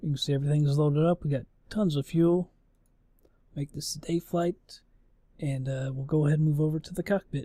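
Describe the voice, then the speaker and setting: A man with a dark, mellow tone and a fairly high pitch talks at a fairly quick pace, somewhat breathy, with fairly even intonation and long, frequent pauses, in a dry, close sound with no echo. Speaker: gaming YouTuber. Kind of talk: let's play commentary. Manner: casual.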